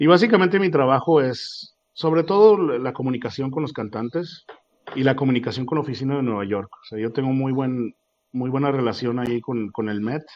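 With a plain, everyday voice, a man talks at a fairly quick pace in a medium pitch, using lively intonation and big swings in loudness. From Mexico, Torreón. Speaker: opera singer. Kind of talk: interview.

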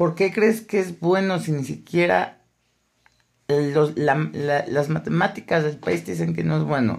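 A man speaks with a Mexican accent at a fairly slow pace. His fairly high voice swings very widely in pitch. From Mexico, Aguascalientes. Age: 20s. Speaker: podcaster. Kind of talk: casual monologue. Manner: halting, many repetitions.

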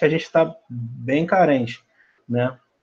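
A man is speaking. The background is quiet. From Brazil, Rio de Janeiro city. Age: 20s. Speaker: football fan. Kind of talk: casual chat.

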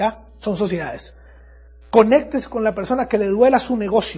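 A man's animated voice with lively intonation at a moderate pace, over background music. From Venezuela, Andes region. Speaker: network marketing business speaker. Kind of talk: motivational talk. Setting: stage with audience.

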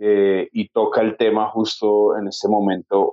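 A man at a fairly slow pace. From Colombia. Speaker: podcast co-host. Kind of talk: interview. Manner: halting.

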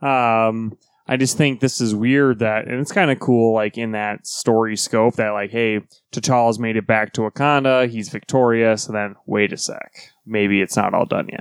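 Moderate-paced speech from a man at medium pitch, fairly even intonation, dry, close sound with no echo, and a very clean recording with a silent background. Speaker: comics podcast co-host. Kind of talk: casual chat. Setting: studio. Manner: quiet.

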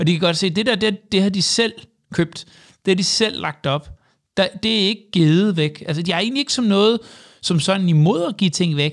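A high-pitched man at a moderate pace with lively intonation, on a very clean recording with a silent background. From Jutland, Denmark. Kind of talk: casual interview. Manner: halting, many fillers and repetitions.

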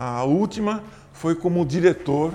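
Somewhat breathy, the man speaks in a dark, mellow tone. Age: 70s. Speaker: basketball coach. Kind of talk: interview.

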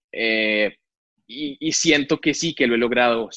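Here a man talks in an unremarkable speaking voice. His pitch is medium and his pace fairly slow. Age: 30s. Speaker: engineer and entrepreneur. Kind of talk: interview conversation.

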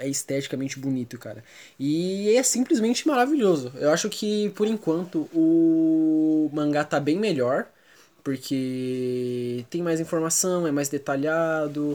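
Over a very clean recording with a silent background, a man speaks at a fairly slow pace in a dark, mellow tone, his pitch fairly high and his intonation lively. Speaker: podcast co-host. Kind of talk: casual chat.

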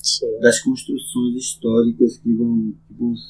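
Music can be heard behind the speaker. He is a man with a medium-pitched voice. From Salvador, Bahia, Brazil (Subúrbio Ferroviário). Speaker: community historian and local resident. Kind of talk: conversational interview, reminiscing. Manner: animated.

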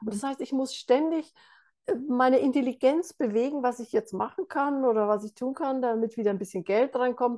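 Her voice is high, with a dark, mellow tone and ordinary pitch variation. The woman speaks at a moderate pace against a quiet background. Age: 60s. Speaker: meditation teacher. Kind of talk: interview.

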